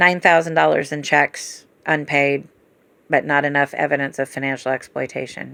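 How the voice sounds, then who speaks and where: In a very clean recording with a silent background, a woman with a very deep, low pitch speaks at a moderate pace in a monotone, flat delivery with vocal fry. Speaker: family caregiver. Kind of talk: casual chat.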